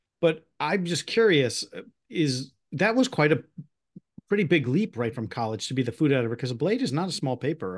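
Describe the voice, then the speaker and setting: Lively intonation marks this man's speech in a Midwestern American accent. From US Midwest, Northwest Ohio (Toledo area). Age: 50s. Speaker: podcast host. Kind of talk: casual interview.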